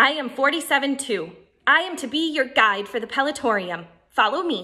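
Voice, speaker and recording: A woman puts on a robotic character voice, high-pitched with very wide pitch swings. She speaks at a moderate pace. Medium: read story. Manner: robotic, clipped.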